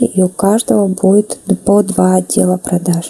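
A woman speaks over noticeable background noise. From Kazakhstan. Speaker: network marketing presenter. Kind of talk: explanatory sales pitch.

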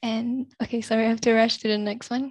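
A woman speaks at a fairly high pitch with monotone, flat intonation and a somewhat breathy sound. The audio is dry with no echo, over a quiet background. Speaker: student moderator. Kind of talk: event moderation. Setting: video call. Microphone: headset.

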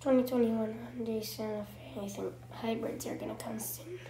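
A woman keeps a moderate pace, with background noise clearly noticeable. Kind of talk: casual game commentary.

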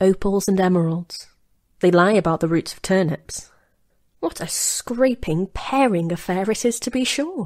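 With a plain, everyday voice, a woman speaks at medium pitch and a moderate pace, her intonation lively against a quiet background. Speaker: voice-over artist. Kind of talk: audiobook short story reading. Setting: home studio. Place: studio.

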